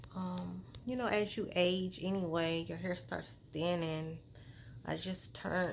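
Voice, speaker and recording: A woman at a fairly low pitch and a fairly slow pace, with ordinary pitch variation and audible room echo. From US South. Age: 40s. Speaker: vlogger. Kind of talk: casual vlog talk. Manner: casual, with fillers and self-corrections.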